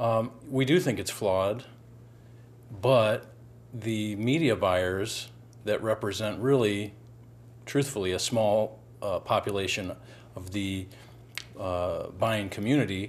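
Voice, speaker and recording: Pausing long and often, a man speaks at a fairly slow pace. His pitch is fairly low, with ordinary variation. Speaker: guest. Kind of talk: panel discussion answer. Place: studio. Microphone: lapel.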